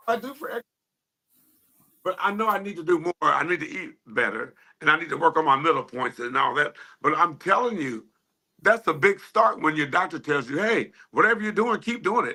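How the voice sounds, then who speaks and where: A man speaks in a raised, projected voice at a moderate pace. His pitch swings very widely. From Ohio, US Midwest. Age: 50s. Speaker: line dance instructor and DJ. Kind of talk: podcast interview.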